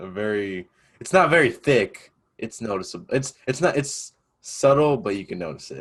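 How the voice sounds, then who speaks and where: Speaking at a moderate pace with an American accent, a man at medium pitch swings very widely in pitch and heavily in loudness. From upstate New York. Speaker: student podcast host. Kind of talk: casual chat.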